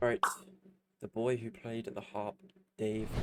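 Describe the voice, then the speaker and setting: Here a man talks with a British accent. His pace is fairly quick. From UK. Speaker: music reaction streamer. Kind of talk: live stream reaction. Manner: casual, hesitant with fillers.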